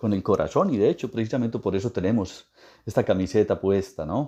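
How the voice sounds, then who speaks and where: This man has an Antioquian accent. His tone is dark and mellow. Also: quiet background. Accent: Antioquian Colombian (paisa). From Colombia, Antioquia. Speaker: guest speaker on Colombian culture. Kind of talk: interview talk. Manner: formal.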